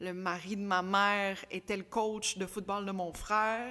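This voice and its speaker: On a very clean recording with a silent background, a woman speaks at medium pitch in a bright, sharp tone with monotone, flat intonation. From Quebec. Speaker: sports broadcaster and podcaster. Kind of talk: casual interview.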